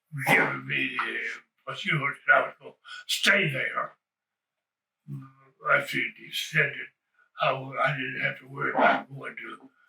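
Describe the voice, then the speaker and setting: A man with a North Carolina accent speaks at a fairly slow pace, his loudness swinging widely between long, frequent pauses. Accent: Southern US, North Carolina. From rural North Carolina. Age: 90s. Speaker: retired baseball player and coach. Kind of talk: oral history interview answer. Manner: rambling, hesitant.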